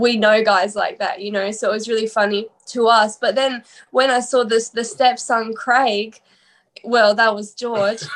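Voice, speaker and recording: A woman with an Australian accent, fairly high-pitched, monotone and flat, at a fairly slow pace. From Australia, Sydney. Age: 20s. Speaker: musician. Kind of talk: interview.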